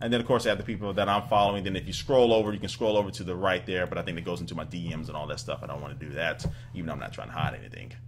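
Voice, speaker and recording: A man's fairly low voice at a very fast pace with hardly any pauses, ordinary pitch variation, big swings in loudness, and music in the background. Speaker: tech YouTuber. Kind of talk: tutorial. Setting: screen recording at computer. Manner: casual, stumbling over words.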